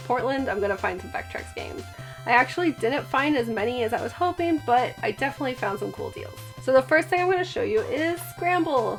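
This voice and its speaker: Over background music, a woman speaks at a fairly quick pace in an upbeat tone, her loudness swinging widely. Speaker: retro game collector. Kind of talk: casual talk to camera.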